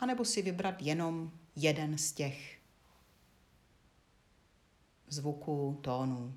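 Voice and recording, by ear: A woman's low-pitched voice with ordinary pitch variation.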